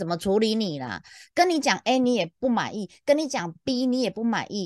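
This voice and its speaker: Against a quiet background, a woman speaks at a fairly quick pace. Her pitch is fairly high and her tone animated. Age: middle-aged. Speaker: podcast co-host, customer service veteran. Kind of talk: casual chat.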